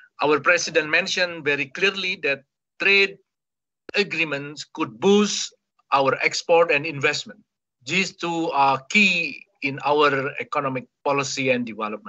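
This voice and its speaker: A man speaks with an Indonesian accent at a fairly slow pace. His pitch variation is ordinary, and the background is quiet. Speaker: ambassador. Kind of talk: webinar presentation. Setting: video call. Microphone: video call.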